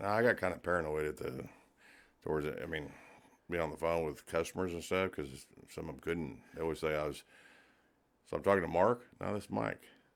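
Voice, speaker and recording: A man mumbles at a fairly quick pace with vocal fry and a very deep, low pitch. His pitch varies in an ordinary way, and he leaves long, frequent pauses. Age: 50s. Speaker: air force and national guard veteran, business owner. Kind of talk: casual chat. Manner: mumbling.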